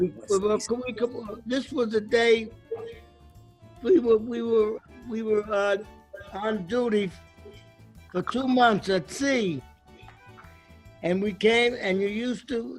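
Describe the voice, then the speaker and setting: Music plays in the background as a man speaks in a high pitch with ordinary pitch variation. His pace is very slow, with long, frequent pauses. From Brooklyn, New York. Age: 80s+. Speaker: WWII Navy veteran. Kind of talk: casual storytelling while cooking.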